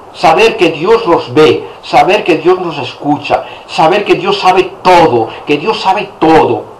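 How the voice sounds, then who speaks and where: A man's high-pitched voice with lively intonation, plus audible room echo and noticeable background noise. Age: 60s. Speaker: priest. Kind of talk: sermon.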